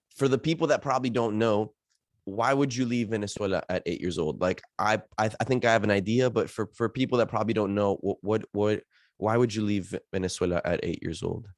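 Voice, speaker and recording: A man with a plain, everyday voice and an American accent, fairly low pitch with ordinary variation, fairly quick pace, on a very clean recording with a silent background and a dry, close sound with no echo. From Miami, US. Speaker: podcast host. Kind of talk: podcast interview.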